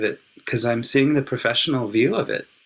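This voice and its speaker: Heard on a very clean recording with a silent background, a man with an ordinary speaking voice talks at a moderate pace and medium pitch with ordinary pitch variation. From California, US. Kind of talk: interview conversation.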